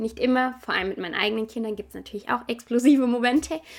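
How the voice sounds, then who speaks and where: With ordinary pitch variation and a fairly high pitch, a woman is captured on a very clean recording with a silent background. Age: 30s. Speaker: parenting podcaster. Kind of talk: casual monologue.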